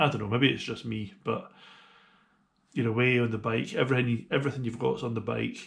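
A man is heard here. His pace is fairly quick. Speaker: motorcycle touring vlogger. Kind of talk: casual vlog chat. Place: home room. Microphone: phone near.

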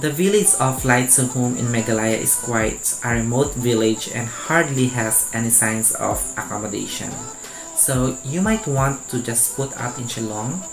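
Over music in the background, a man speaks at a fairly slow pace with ordinary pitch variation. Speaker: review vlogger. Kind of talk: informative vlog narration. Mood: friendly, smiling. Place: home room. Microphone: lapel.

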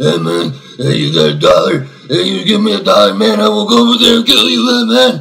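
Putting on a character voice, a man talks at a fairly quick pace and medium pitch. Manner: menacing, begging.

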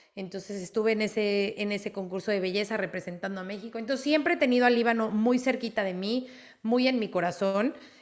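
Against a quiet background, a woman talks very fast at a fairly high pitch with ordinary pitch variation. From Mexico. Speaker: sports reporter. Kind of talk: interview. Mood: warm, reflective, proud. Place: home room. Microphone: video call.

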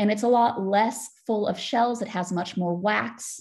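A woman speaks with an American accent, her voice somewhat breathy. The background is quiet. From United States. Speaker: PhD student researcher. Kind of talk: lecture.

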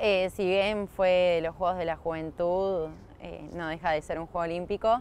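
A woman speaks at a fairly slow pace in a dry recording with no echo. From Argentina, Canning (Buenos Aires province). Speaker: field hockey player. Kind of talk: interview. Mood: warm, smiling. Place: open country.

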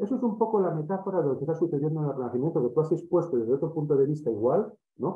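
A man is speaking. His intonation is lively. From Spain. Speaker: academic organizer; audience member. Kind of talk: academic discussion. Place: home room. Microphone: webcam.

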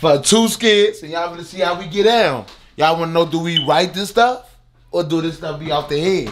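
There is light background noise as a man speaks at a high pitch. His pitch varies in an ordinary way at a moderate pace. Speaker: vlogger. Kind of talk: casual vlog chat. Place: home room. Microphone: phone near.

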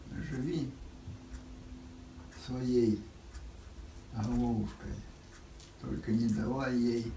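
Delivered at a very slow pace with long, frequent pauses, the speech carries audible room echo and light background noise. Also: man. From Russia. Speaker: World War II veteran. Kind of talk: interview answer. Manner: slow, reflective. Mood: reflective, wistful. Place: home room. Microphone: camera far.

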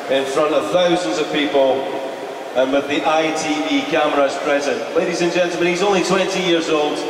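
Male speech with noticeable background noise, audible room echo and ordinary pitch variation. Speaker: ring announcer. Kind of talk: public event announcement. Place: hall.

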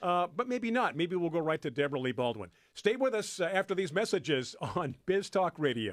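A man with an American accent speaks at a fairly quick pace in a high voice, his pitch swinging very widely while his loudness stays very even, with hardly any pauses against a quiet background. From California. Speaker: radio show host. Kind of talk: radio talk show. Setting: radio studio. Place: studio. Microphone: studio mic.

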